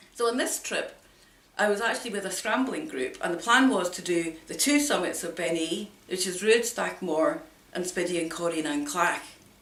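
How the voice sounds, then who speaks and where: A woman at medium pitch speaks with very wide pitch swings. Audible room echo and noticeable background noise are present. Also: moderate pace. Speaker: hill walker vlogger. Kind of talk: personal account to camera.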